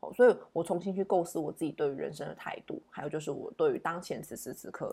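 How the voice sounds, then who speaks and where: The recording is very clean and the background silent. A woman speaks at a fairly quick pace. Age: 30s. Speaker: tarot reader and podcast host. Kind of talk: solo podcast monologue, reflective daily tarot reading. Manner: hesitant with many fillers.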